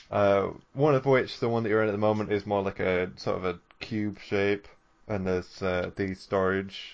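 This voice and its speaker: Moderately paced, a man talks in an unremarkable speaking voice with a fairly low pitch. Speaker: podcast co-host. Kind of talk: casual chat.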